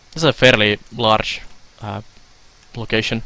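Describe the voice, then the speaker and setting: The speaker is a man. He talks with a Finnish accent. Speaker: video game streamer. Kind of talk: live stream gameplay commentary. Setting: live stream. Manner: hesitant, many filler sounds.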